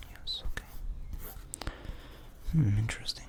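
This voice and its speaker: Someone is whispering. Noticeable background noise can be heard. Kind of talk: ASMR roleplay, whispered personality test. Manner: whispered, soft-spoken.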